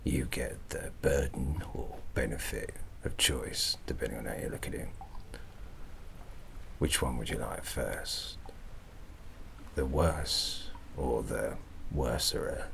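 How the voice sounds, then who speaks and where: Over loud background noise, a man puts on a gravelly character voice in a Cockney accent, speaking at a fairly slow pace with long, frequent pauses. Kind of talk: ASMR roleplay. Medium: solo performance. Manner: rambling, jovial, conspiratorial.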